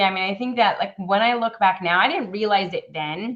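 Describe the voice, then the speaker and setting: At a moderate pace, a woman speaks with a Californian accent. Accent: Californian American. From Iran, raised in California from age five. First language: Persian. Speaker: podcast guest. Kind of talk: casual chat.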